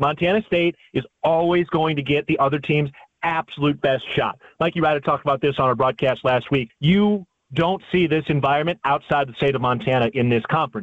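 A man with an ordinary speaking voice talks at a fairly quick pace and a fairly high pitch. His pitch variation is ordinary and his loudness very even. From Chicago, Illinois. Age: 30s. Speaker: sports play-by-play announcer. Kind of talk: casual chat.

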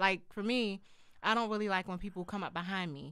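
A woman's medium pitch with ordinary pitch variation. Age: 30s. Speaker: podcast co-host. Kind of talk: casual chat. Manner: quiet.

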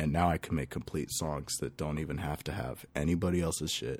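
Vocal fry and ordinary pitch variation with an American accent, in a very clean recording with a silent background. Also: man. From California (Lake Elsinore). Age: 20s. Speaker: electronic musician. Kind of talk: casual interview chat. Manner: animated.

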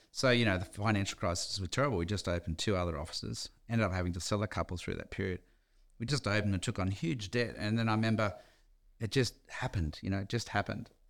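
The man's voice is fairly low, with ordinary pitch variation, and he talks very fast. The recording is very clean, with a silent background. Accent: Australian. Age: 60s. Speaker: real estate company founder. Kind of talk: interview. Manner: casual.

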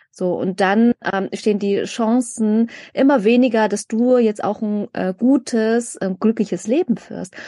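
With hardly any pauses at a fairly slow pace, a woman speaks at a fairly high pitch in a dark, mellow tone with ordinary pitch variation, recorded dry and close with no echo. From Germany, migrant background. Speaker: podcast co-host. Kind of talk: casual chat.

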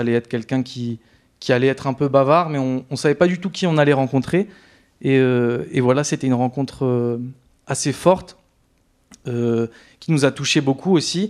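Against a quiet background, a man talks at a fairly quick pace and medium pitch with ordinary pitch variation, pausing often and at length. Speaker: documentary maker. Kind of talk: casual interview. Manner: halting.

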